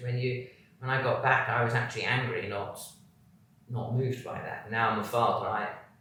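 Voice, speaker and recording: A man with a British accent speaks at a moderate pace amid noticeable background noise and audible room echo. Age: 60s. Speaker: former military pilot and prisoner of war. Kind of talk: interview testimony.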